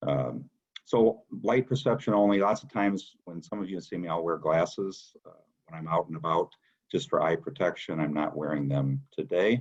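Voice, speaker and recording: A man's very deep, low voice at a moderate pace with lively intonation. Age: 60s. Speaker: nonprofit fundraising director. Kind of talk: recorded presentation. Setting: home dining room, recording to laptop. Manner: hesitant, with fillers.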